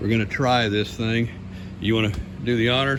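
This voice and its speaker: With audible room echo and noticeable background noise, a man talks at a medium pitch with fairly even intonation. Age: 60s. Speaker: car mechanic and video creator. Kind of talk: casual hands-on tutorial.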